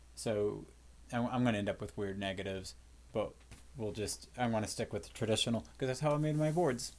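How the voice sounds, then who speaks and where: A man talks at a fairly quick pace. Audible echo from the room surrounds his voice. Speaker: physics teacher. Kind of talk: lecture. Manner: fast; casual, with fillers.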